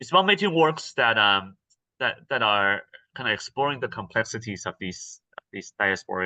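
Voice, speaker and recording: A man with a Mandarin accent speaks at a fairly low pitch with lively intonation and a bright, sharp tone. The sound is dry and close with no echo, over a quiet background. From Taiwan. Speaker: actor and theatre artist. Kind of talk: interview. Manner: halting, many fillers and repeats.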